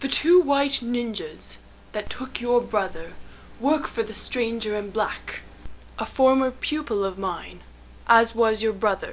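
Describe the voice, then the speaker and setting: A woman's put-on character voice, fairly high in pitch, at a fairly slow pace with ordinary pitch variation, over clear background noise. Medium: stage play. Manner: calm, cryptic.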